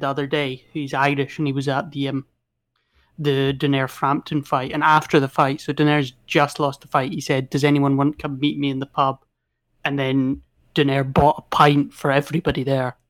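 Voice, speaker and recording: Talking at a fairly quick pace with a Scottish accent, a man uses a fairly high pitch and monotone, flat intonation, with a dry, close sound and no echo. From Scotland. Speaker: boxing podcast guest. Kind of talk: casual chat.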